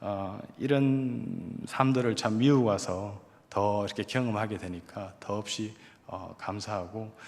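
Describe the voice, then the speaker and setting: In a strong Gyeongsang accent, a man with a fairly low pitch speaks at a very slow pace, his intonation fairly even. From Korea, Gyeongsang region. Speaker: evangelist, missionary. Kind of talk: testimony.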